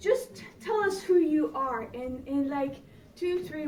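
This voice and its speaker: A woman talks with lively intonation. Audible room echo surrounds her voice. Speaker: public speaker. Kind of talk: presentation. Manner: animated.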